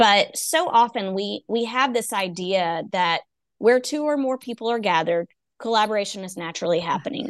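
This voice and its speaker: Against a quiet background, a woman with a Texan accent talks at a fairly quick pace with lively intonation. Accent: Texan (US Southern). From East Texas. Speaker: education consultant and coach. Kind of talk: casual interview.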